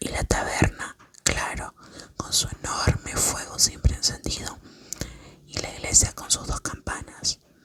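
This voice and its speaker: A woman whispers at a fairly slow pace with long, frequent pauses, her loudness swinging widely over noticeable background noise. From Argentina. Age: 20s. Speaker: ASMR creator. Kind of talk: sleep story. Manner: whispered, soft.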